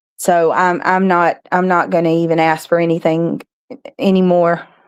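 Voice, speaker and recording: The recording is very clean, with a silent background. A woman speaks at a moderate pace and a medium pitch. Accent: Southern US. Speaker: live stream host. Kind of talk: casual chat. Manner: halting.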